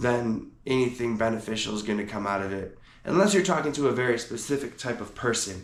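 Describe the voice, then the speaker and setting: A man's medium-pitched voice at a fairly quick pace, with ordinary pitch variation and audible room echo. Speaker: podcast host. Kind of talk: solo podcast monologue. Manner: casual, conversational.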